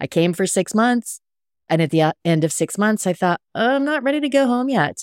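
Talking at a fairly quick pace, a woman with a medium pitch makes very wide pitch swings at very even loudness, in a very clean recording with a silent background and a dry, close sound with no echo. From US, military family (Texas, England, Hawaii, Washington). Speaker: cocktail writer and podcast host. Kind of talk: casual interview chat.

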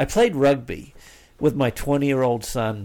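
This man has a New Zealand accent. He speaks at a fairly slow pace. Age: 50s. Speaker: father of five. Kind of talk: casual chat.

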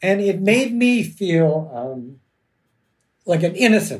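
Audible room echo surrounds a man with a Canadian accent whose pitch swings very widely. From Canada, Toronto. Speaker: criminal lawyer and novelist. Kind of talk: casual chat. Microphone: audio track problems.

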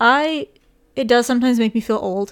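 Moderate-paced speech from a woman, very cleanly recorded over a silent background. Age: 20s. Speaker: podcast co-host. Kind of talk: casual chat.

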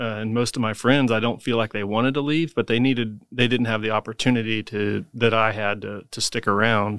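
A man talks at a fairly quick pace with a Midwestern American accent. His intonation stays fairly even. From Emporia, Kansas. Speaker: construction company CEO. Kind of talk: casual interview.

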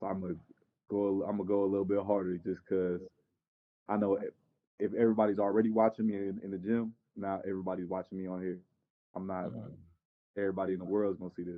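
This man talks at a very fast pace with an American accent, a fairly low pitch and a monotone, flat delivery, broken up by long, frequent pauses. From Southern California. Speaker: junior college basketball player. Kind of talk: interview.

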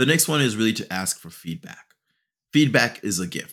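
Over a silent background in a very clean recording, a man talks at a fairly quick pace with very wide pitch swings. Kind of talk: solo educational podcast talk. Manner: raises voice when animated.

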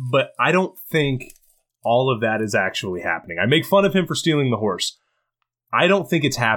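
Vocal fry from a man at medium pitch, with an animated tone and a fairly quick pace. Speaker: podcast guest, friend of host. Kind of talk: casual chat.

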